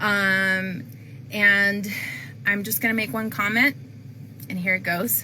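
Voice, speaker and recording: A woman speaks at a very slow pace with lively intonation, a medium pitch and a bright, sharp tone, taking long, frequent pauses over audible room echo. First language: not English. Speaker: planning and zoning commissioner. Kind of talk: public appeal to viewers. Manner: casual with many fillers.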